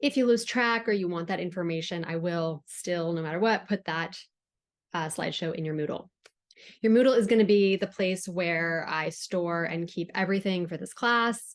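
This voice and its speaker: A woman with a fairly low pitch and a slight Southern California accent, at a moderate pace with ordinary pitch variation, against a quiet background. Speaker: writing instructor. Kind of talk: recorded lecture. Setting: recorded on Zoom. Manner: casual, with frequent fillers.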